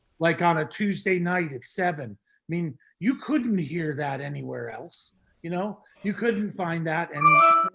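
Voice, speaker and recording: Music plays behind a man with an American accent and a high pitch. He speaks at a fairly slow pace with lively intonation and big swings in loudness. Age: 60s. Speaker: music producer. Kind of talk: casual interview. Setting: video call.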